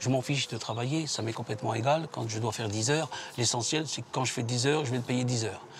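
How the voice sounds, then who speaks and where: Using an ordinary speaking voice, a man of medium pitch talks at a fairly quick pace with fairly even intonation. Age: 60s. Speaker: retired leaflet distributor. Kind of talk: documentary interview.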